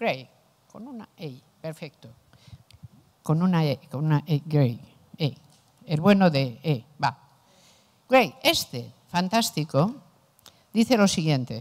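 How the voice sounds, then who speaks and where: A woman speaks very slowly with a very deep, low pitch and very wide pitch swings. She leaves long, frequent pauses against a quiet background. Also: big swings in loudness. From Spain. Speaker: philosopher; philosopher lecturer. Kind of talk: lecture. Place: classroom. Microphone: handheld.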